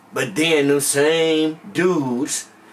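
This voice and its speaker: Noticeable background noise behind a man speaking in a fairly high register. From Compton, Southern California. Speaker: vlogger, former gang member. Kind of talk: personal storytelling monologue. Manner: animated.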